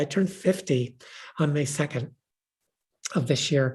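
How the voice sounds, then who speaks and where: A woman's voice comes across somewhat breathy, with a dark, mellow tone. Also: quiet background. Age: 70s. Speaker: author and pastor. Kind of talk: book event conversation. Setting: live stream.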